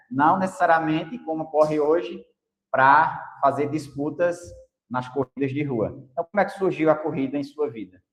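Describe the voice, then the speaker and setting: Using a normal speaking voice, a man talks at a moderate pace and a fairly high pitch, with ordinary pitch variation. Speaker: podcast host. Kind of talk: podcast interview.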